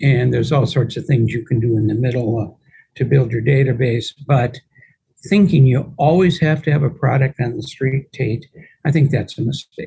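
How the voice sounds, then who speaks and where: Somewhat breathy and dark, mellow in tone, this voice moves at a moderate pace with ordinary pitch variation. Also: man, medium pitch for a man. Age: 70s. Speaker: real estate attorney and investor. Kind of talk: podcast interview.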